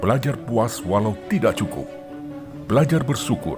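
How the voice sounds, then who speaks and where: Lively intonation marks a man speaking at a moderate pace with music in the background. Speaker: voice actor. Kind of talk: inspirational reading.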